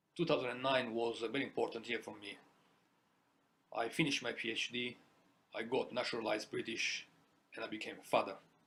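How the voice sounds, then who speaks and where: A man with an Italian accent speaks very fast at medium pitch, his tone bright and sharp. His loudness swings widely, his intonation stays fairly even, and long pauses come often. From Italy. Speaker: small business owner. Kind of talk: personal testimony.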